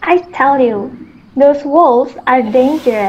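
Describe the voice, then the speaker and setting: A female-sounding, high-pitched put-on character voice at a fairly slow pace. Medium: stage play. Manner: bewildered, curious.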